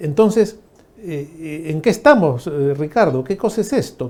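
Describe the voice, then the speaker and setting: A man speaks with a dark, mellow tone and lively intonation. His pace is moderate. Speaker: TV news host. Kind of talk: political interview.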